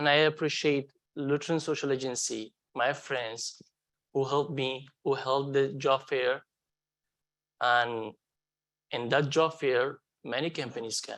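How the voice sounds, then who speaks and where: A man with a non-native accent speaks at a fairly slow pace, leaving long, frequent pauses. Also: fairly high pitch for a man. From Afghanistan. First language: not English. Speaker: refugee hotel security manager. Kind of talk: onstage interview testimony. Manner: halting.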